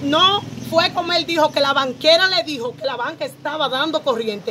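A woman's high-pitched voice, fairly bright in tone, at a moderate pace with ordinary pitch variation and faint background noise

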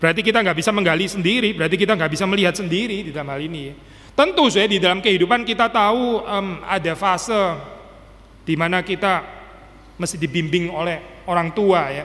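Very fast and high-pitched, a man's voice has a bright, sharp tone. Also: ordinary pitch variation. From Indonesia. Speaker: pastor. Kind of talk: sermon. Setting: church. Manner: casual, code-switching with English. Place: church. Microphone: podium.

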